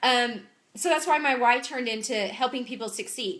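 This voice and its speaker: With noticeable background noise, a woman speaks in a high voice with an animated tone and lively intonation. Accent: Southern US. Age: 30s. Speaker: clothing sales consultant. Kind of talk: live-streamed Q&A. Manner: animated, chatty.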